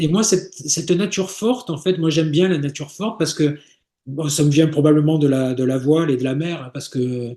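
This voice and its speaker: Moderate pace and ordinary pitch variation. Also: man. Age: 60s. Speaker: sailor and travel agency founder. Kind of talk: interview. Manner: halting, many repetitions and fillers.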